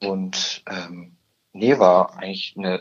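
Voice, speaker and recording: A man speaks at a very slow pace. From Upper Bavaria, Germany (Murnau area). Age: young. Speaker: trainee insurance clerk. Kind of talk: interview. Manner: hesitant with many fillers.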